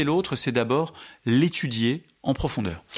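A man is talking. His intonation is lively. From France. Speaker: Dominican friar and Islam scholar. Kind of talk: radio interview. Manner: halting, frequent repetitions.

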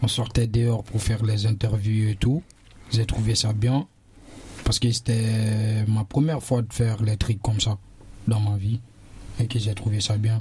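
Pitched fairly low, a man talks at a fairly slow pace with long, frequent pauses, very even loudness and monotone, flat intonation. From Guinea. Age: young. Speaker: DJ and young migrant. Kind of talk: casual discussion.

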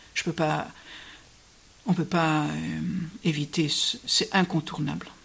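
A woman at a very slow pace. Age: 70s. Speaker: Benedictine nun. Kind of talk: radio interview on scripture. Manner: hesitant, with many fillers.

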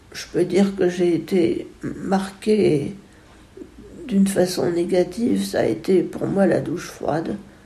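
A woman speaks at a very slow pace with a fairly low pitch and ordinary pitch variation. Audible room echo and noticeable background noise fill the recording. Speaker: musician, composer and retired music teacher. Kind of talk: interview testimony. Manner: halting, with frequent word repetitions.

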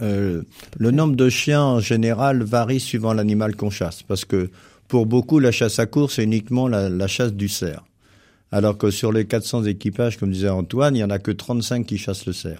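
Keeping a moderate speed, a man talks in a dark, mellow tone. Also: ordinary pitch variation, very clean recording, silent background. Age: 70s. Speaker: hunting federation official and country doctor. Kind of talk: radio interview.

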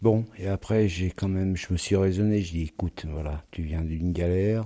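A man with a very deep, low voice. His tone is dark and mellow, and his intonation stays fairly even. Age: 50s. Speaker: resident of a shared house for formerly homeless people. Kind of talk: testimony.

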